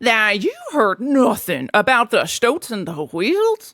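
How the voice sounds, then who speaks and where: A woman puts on a character voice at a fairly high pitch. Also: fairly slow pace. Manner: shouting, indignant.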